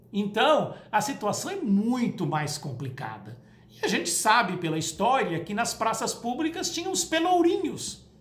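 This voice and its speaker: A woman with a Brazilian accent, fairly high pitch and very wide pitch swings, at a fairly slow pace with hardly any pauses. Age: 60s. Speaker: spiritist lecturer. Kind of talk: spoken talk to camera. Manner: conversational.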